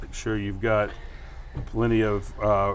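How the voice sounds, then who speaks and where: A man's voice with audible room echo. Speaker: sewing instructor. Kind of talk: tutorial. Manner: casual, joking. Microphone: new mic being tested, audio issues.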